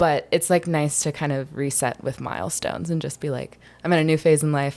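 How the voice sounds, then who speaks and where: On a very clean recording with a silent background, a woman speaks with a slight Southern US accent. Her very deep, low voice moves at a fairly quick pace with fairly even intonation. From US South, Charleston, South Carolina. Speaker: filmmaker. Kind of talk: podcast interview. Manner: casual, filler-heavy.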